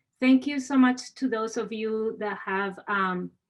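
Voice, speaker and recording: A woman with a Spanish accent and ordinary pitch variation against a quiet background. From Spain. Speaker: university administrator. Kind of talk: webinar moderation. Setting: video call.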